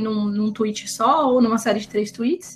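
A woman speaks with fairly even intonation. Noticeable background noise runs underneath. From Campinas, interior of São Paulo state, Brazil. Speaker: writer, translator and editor. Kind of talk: casual interview chat.

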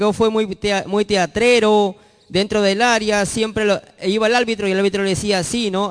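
Speaking at a fairly slow pace, a man with a high pitch comes through in a dry, close sound with no echo. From northern Peru, Chiclayo, Lambayeque. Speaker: football commentator guest. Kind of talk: casual chat. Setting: studio.

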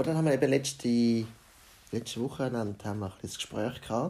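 Here a man talks at a moderate pace with ordinary pitch variation. His voice sits at a medium pitch and has a dark, mellow tone. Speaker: podcaster. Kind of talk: casual monologue.

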